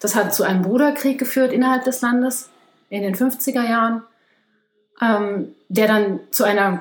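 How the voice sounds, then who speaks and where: A woman speaks with ordinary pitch variation. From Germany. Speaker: ecologist. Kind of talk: casual interview.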